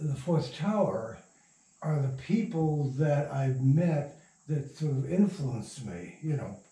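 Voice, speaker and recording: In an American accent, a man with a fairly high pitch and a dark, mellow tone sounds somewhat breathy, his intonation lively and the room echo audible. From Michigan. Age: 80s+. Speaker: radio playwright and producer. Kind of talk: interview. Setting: at his home.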